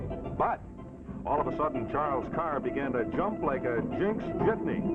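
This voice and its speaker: A man keeps a moderate pace as music plays behind him. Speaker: pitchman. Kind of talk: live TV commercial read.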